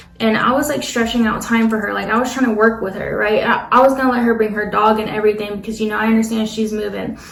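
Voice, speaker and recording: A fairly high-pitched woman at a very fast pace in monotone, flat intonation, amid noticeable background noise. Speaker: nail tech. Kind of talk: storytime talk to camera.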